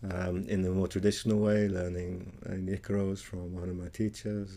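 With a British accent, a man speaks at a moderate pace in a very deep, low voice of dark, mellow tone and fairly even intonation. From Britain. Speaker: musician and ceremony leader. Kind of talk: interview.

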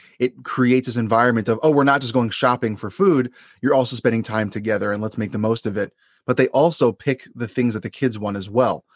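With an American accent, a man talks very fast at a medium pitch and ordinary pitch variation, in a dry, close sound with no echo and a quiet background. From US Northeast, Long Island, New York. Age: 30s. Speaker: therapist and podcast host. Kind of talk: casual interview chat.

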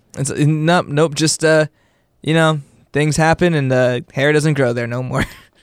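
At a moderate pace, a man with a plain, everyday voice speaks at a fairly high pitch and with fairly even intonation, in a very clean recording with a silent background. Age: 20s. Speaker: podcast co-host. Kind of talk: casual chat.

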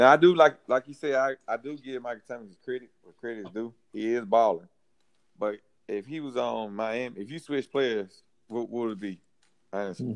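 Man with a Southern US accent, medium pitch, ordinary pitch variation, moderate pace and big swings in loudness. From Mississippi. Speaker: sports podcast panelist. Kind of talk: casual chat.

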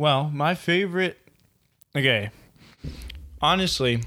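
Bright and sharp in tone, a man's voice moves at a fairly slow pace. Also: very clean recording, silent background. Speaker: podcast co-host. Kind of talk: casual chat.

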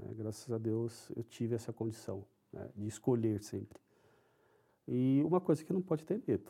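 A man talks at a moderate pace with lively intonation, leaving long, frequent pauses. His tone is dark and mellow, and somewhat breathy. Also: medium pitch for a man. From São Paulo, Brazil. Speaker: IT executive. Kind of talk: interview.

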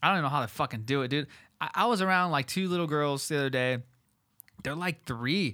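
On a very clean recording with a silent background, a man with an American accent speaks very fast in a fairly high, bright, sharp voice, animated in tone, with lively intonation. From Southern California. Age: 20s. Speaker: podcast host. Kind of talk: casual chat.

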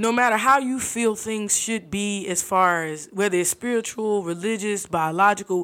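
A woman with an American accent speaks at a moderate pace, hardly pausing at all. She has a plain, everyday voice, medium pitch and ordinary pitch variation. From US South, Fort Lauderdale, Florida. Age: 30s. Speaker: research administrator. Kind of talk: casual chat.

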